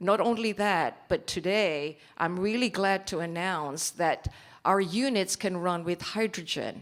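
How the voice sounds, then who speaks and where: In a very clean recording with a silent background, a woman speaks at a fairly slow pace in a normal speaking voice, medium in pitch with ordinary pitch variation. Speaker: company executive presenting at investment forum. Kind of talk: conference presentation.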